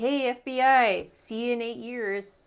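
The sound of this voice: A woman uses a put-on character voice, high-pitched, with fairly even intonation and a fairly slow pace.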